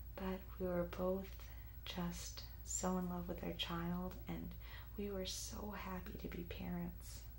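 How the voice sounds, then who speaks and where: Soft-spoken, very slow delivery in an American accent, with monotone, flat intonation over noticeable background noise. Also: woman, very deep, low pitch for a woman. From United States. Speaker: ASMR creator. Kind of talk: ASMR life story narration.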